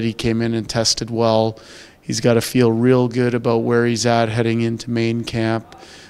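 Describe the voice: The voice has a clear, smooth tone and moves at a fairly slow pace. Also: man.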